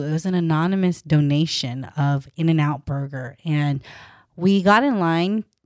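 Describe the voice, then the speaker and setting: A woman's normal speaking voice, fairly low in pitch with ordinary pitch variation, at a fairly slow pace, in a very clean recording with a silent background. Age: 30s. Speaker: dietitian and podcast host. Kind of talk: casual chat.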